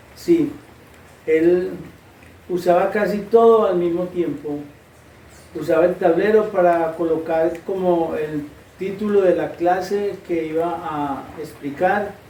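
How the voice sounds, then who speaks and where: Speaking at a very slow pace with long, frequent pauses, a man with a high pitch and a dark, mellow tone keeps his intonation fairly even, and the room echo is audible. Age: 60s. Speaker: interviewee. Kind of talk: interview answers.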